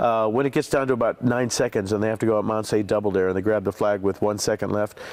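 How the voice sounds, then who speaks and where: Noticeable background noise under a man's fairly quick, medium-pitched speech. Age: 60s. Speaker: TV game show host. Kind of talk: interview answer.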